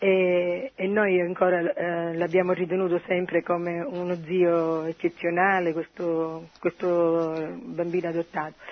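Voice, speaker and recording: A woman speaks at a fairly slow pace in a fairly low pitch. Her intonation is monotone and flat. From Siracusa, Sicily. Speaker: caller. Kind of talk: phone-in testimony. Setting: phone call.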